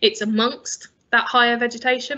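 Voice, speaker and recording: A woman's high-pitched, monotone voice with flat intonation, at a moderate pace over a quiet background. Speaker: conservation charity expert. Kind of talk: lecture. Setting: video call. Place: home room. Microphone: webcam.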